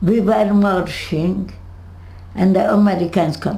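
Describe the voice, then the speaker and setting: A woman speaks with a Hungarian accent and ordinary pitch variation. Room echo is audible, along with noticeable background noise. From Hungary. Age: 80s+. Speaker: Holocaust survivor. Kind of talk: interview. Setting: home. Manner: halting.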